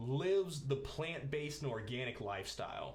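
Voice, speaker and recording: A man's fairly high voice, with ordinary pitch variation, keeps a moderate pace through noticeable background noise. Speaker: talk show host. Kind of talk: casual talk to camera. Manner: upbeat.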